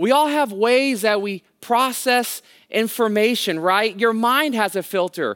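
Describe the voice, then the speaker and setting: A man with an American accent speaks fairly slowly in a high voice, with ordinary pitch variation. The recording is very clean, with a silent background. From California, Bay Area (Hayward). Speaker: guest pastor. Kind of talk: sermon.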